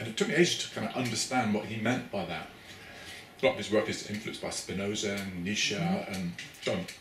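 A man with a Cornish accent speaks at a very fast pace and fairly low pitch with ordinary pitch variation, with audible room echo and light background noise. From Cornwall, England. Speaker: academic researcher. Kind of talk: interview conversation. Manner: hesitant, repeats words. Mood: reflective, warm. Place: home room. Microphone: camera far.

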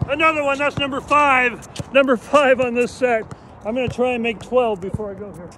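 Extremely high-pitched male speech in an American accent, fairly quick, with ordinary pitch variation, big swings in loudness and noticeable background noise. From US West Coast, San Francisco. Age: 60s. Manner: animated.

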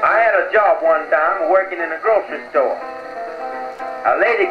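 A man talks at a moderate pace with music in the background. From United States. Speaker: comedian. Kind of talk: comedy monologue with guitar accompaniment. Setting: old 1920s record played on an acoustic phonograph. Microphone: old recording.

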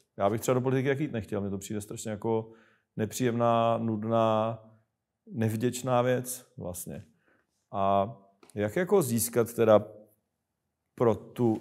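A man goes fairly slowly with fairly even intonation, the background quiet. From Czech Republic. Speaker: show host asking questions. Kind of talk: casual political interview. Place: studio.

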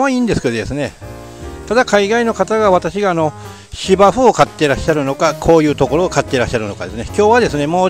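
High male voice at a very fast pace, with a dry sound, no echo, and faint music in the background. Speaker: farmer reviewing tools. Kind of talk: casual vlog chat.

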